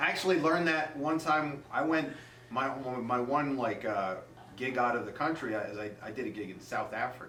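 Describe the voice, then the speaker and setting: A man talks at a fairly quick pace with a medium pitch and ordinary pitch variation. Audible room echo and noticeable background noise are present. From Massachusetts, US Northeast. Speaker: stand-up comedian. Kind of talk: casual interview chat.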